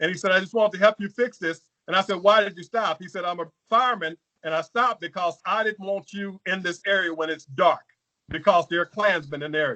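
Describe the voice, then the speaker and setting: Speaking very fast with a Southern US accent, a man uses a raised, projected voice that is high-pitched and bright and sharp, with ordinary pitch variation in a dry, close sound with no echo. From Louisiana. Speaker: congressional candidate. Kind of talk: political interview. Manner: halting.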